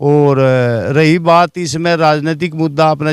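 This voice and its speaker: The recording of a man is very clean, with a silent background. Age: 60s. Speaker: community member, political supporter. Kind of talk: interview. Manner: halting.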